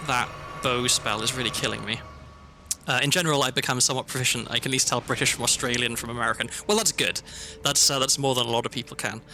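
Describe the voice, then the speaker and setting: A man speaks very fast at a medium pitch, with a slight Welsh accent. His pitch varies in an ordinary way, and music plays in the background. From South Wales. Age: 30s. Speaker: streamer. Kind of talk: gaming livestream chat. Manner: hesitant, many fillers.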